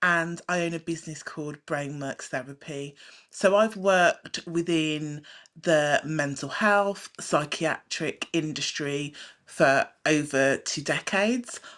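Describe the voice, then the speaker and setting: Very deep and low in pitch, a woman speaks at a very slow pace with ordinary pitch variation. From Britain. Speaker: psychiatric nurse and hypnotherapist. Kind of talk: talk show interview.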